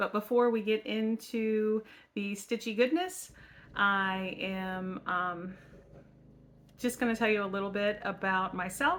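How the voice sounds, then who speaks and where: A woman speaks loudly at a very slow pace, with medium pitch and ordinary pitch variation. Her tone is bright and sharp. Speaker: craft channel host. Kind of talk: casual vlog chat.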